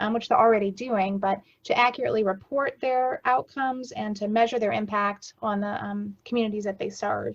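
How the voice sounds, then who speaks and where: Her pitch sits fairly high for a woman, with fairly even intonation. She speaks at a fairly quick pace. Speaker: director of a community action agency. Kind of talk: report presentation at council meeting. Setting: video call. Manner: fast.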